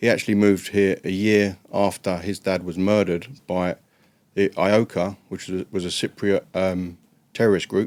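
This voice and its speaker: In a dry, close recording with no echo, a man with an English accent speaks at a moderate pace in a very deep, low pitch and a monotone, flat intonation. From northwest London, England. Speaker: former prisoner and drug chemist. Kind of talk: interview storytelling.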